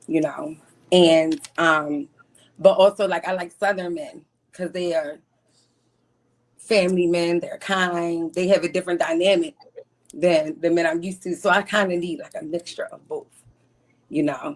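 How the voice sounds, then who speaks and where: A woman in a Baltimore accent speaks at a moderate pace with long, frequent pauses. Her pitch is fairly low with ordinary pitch variation, and her loudness swings widely. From Baltimore, US. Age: 40s. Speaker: caller seeking a partner. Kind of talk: casual interview.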